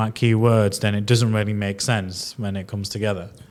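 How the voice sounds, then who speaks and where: A man with a strong Leeds accent talks at a fairly quick pace in a very clean recording with a silent background. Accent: strong Yorkshire Leeds. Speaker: podcast host. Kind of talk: podcast interview.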